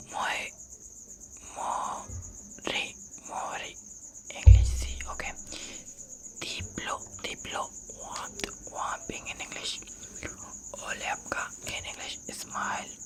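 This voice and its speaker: The speaker whispers at a very slow pace with long, frequent pauses. Noticeable background noise can be heard. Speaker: ASMR creator. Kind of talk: ASMR whispered vocabulary lesson. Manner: whispered, soft.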